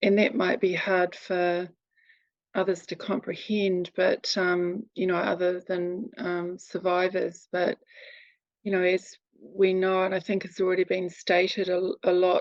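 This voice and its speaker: A woman's medium-pitched voice in a New Zealand accent, monotone and flat, at a fairly slow pace. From New Zealand, near Wellington. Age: 60s. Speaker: abuse survivor and advocate. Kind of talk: testimony. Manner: halting.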